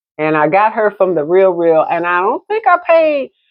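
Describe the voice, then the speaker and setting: A woman speaks loudly at a medium pitch for a woman. Her pace is fairly slow, and her pitch swings very widely. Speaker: realtor and vintage handbag vlogger. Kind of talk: casual show-and-tell vlog. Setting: at home desk, phone camera. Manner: chatty, relaxed.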